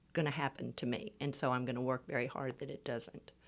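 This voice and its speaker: A woman's voice with an American accent. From US Midwest, Kansas City. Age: 60s. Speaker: fitness client, amateur athlete. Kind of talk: interview conversation.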